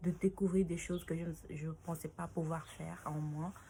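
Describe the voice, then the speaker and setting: A woman's fairly low, somewhat breathy voice with a dark, mellow tone at a fairly slow pace. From Senegal. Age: 20s. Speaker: dancer. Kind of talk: interview answers to read-out questions. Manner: halting, many fillers.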